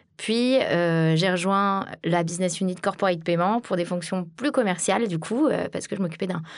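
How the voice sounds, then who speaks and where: Against a quiet background, a woman with a normal speaking voice talks at a fairly slow pace with ordinary pitch variation. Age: 30s. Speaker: sales director. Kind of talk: interview.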